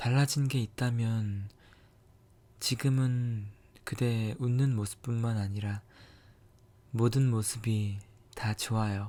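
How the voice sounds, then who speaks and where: A man speaks very slowly in a dark, mellow tone at a medium pitch, his flat, monotone delivery broken by long, frequent pauses. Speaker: ASMR creator. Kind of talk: scripted romantic ASMR monologue, whispered. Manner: soft, intimate, slow, tender.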